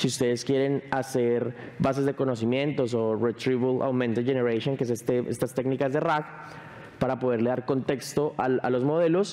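Fairly quick male speech with fairly even intonation. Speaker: tech company speaker; speaker. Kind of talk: conference presentation. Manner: fast. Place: stage.

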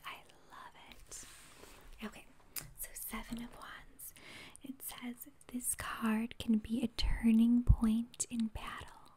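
Soft-spoken and calm in tone, a woman talks at a very slow pace with long, frequent pauses and big swings in loudness over light background noise. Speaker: ASMR creator. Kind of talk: ASMR tarot reading and teaching. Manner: softly spoken, calm. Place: home room. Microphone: phone near.

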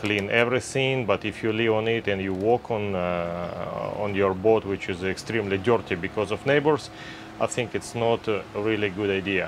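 This man's voice is fairly low, and his intonation stays fairly even. He speaks at a fairly slow pace over noticeable background noise. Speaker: sailing vlogger. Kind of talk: casual vlog chat. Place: boat.

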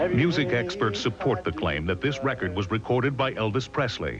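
Over music in the background, a man speaks at a fairly quick pace with medium pitch. His pitch swings very widely while his loudness stays very even. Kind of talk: television documentary narration.

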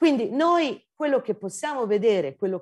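At a moderate pace, a woman's pitch swings very widely against a quiet background. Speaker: geology professor. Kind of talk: lecture. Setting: video call. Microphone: video call.

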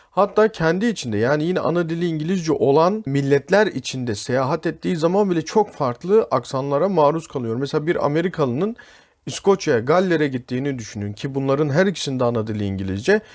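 A plain, everyday voice from a man, fairly high in pitch, at a fairly quick pace with lively intonation. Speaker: English teacher. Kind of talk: tutorial.

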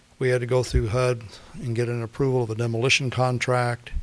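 A man at a medium pitch and a fairly quick pace. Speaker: housing authority director. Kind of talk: public testimony at council meeting. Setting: city commission meeting chamber. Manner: soft-spoken.

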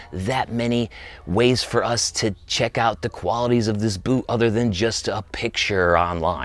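Faint music plays behind a man speaking at a moderate pace with ordinary pitch variation, the sound dry with no echo. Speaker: boot reviewer. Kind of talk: casual product review. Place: shop. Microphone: lapel.

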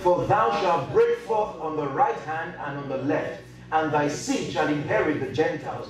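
Male speech at a moderate pace, with noticeable background noise and audible echo from the room. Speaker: pastor preaching. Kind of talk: sermon. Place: hall.

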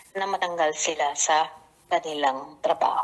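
In a plain, everyday voice, a woman speaks fairly slowly with ordinary pitch variation. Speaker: election official. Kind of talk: news interview soundbite.

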